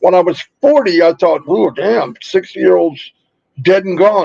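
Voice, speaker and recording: A man with a high pitch and lively intonation talks at a fairly slow pace, the sound dry and close with no echo. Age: 60s. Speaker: online business promoter. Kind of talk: motivational live stream talk. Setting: live stream. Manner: animated.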